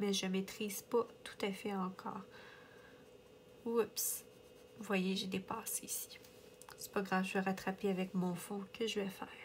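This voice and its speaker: A woman at a medium pitch, somewhat breathy and monotone with flat intonation, at a fairly slow pace with long, frequent pauses. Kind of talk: casual coloring chat to camera.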